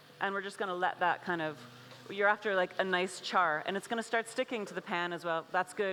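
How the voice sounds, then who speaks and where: A woman speaks in a normal speaking voice with an American accent. Her pitch is medium. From USA. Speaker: chef and cookbook author. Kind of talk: cooking demonstration. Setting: stage with audience at food festival. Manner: casual, filler-heavy.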